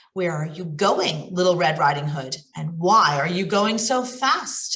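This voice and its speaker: A woman's put-on character voice, fairly low in pitch and at a fairly slow pace. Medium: read story. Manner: sly, wheedling.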